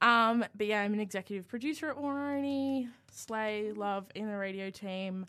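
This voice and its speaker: In a very clean recording with a silent background, a woman with an Australian accent talks at a moderate pace in a bright, sharp tone with ordinary pitch variation. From Australia, New South Wales north coast. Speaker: student radio producer. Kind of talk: casual chat.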